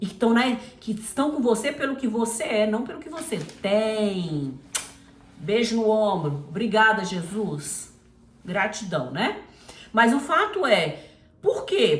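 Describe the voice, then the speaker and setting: In a room with audible echo, a woman speaks at a fairly slow pace in a fairly high pitch. Her tone is animated, with very wide pitch swings. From Brazil. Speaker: missionary Bible teacher. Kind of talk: informal Bible teaching.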